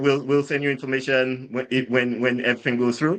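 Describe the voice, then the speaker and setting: Bright and sharp in tone, a man talks with an American accent. He moves at a fairly quick pace. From Saint Lucia. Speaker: drinks brand founder, ex-soldier. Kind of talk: casual interview storytelling. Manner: halting, many repetitions and fillers.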